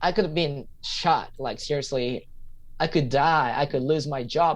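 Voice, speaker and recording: In a quiet background, a man talks at a moderate pace with a Japanese accent. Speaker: English teacher and stand-up comedian. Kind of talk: podcast interview. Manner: halting.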